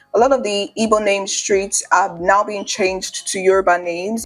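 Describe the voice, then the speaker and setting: Music plays behind a woman's voice. Her pitch is medium, with ordinary pitch variation. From Nigeria. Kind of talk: casual talk to camera.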